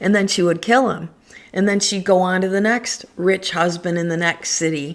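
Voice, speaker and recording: A normal speaking voice, fairly even in intonation, at a moderate speed. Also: woman, medium pitch for a woman. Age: 60s. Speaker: astrologer. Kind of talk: casual monologue on astrology. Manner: chatty, frequent fillers.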